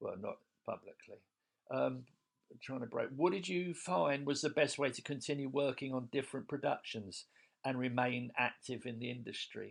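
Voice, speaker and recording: Vocal fry runs through a man's medium-pitched voice. He keeps a moderate pace and ordinary pitch variation. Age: 60s. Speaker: comedian. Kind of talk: recorded monologue answering interview questions. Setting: self-recorded voice memo. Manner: halting.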